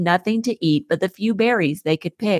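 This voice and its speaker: A woman with an ordinary speaking voice talks at a moderate pace and medium pitch, with ordinary pitch variation. The recording is very clean and dry, close with no echo and a silent background. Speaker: podcast host. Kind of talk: fairy-tale narration, read aloud to children. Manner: storyteller pace, gentle, even.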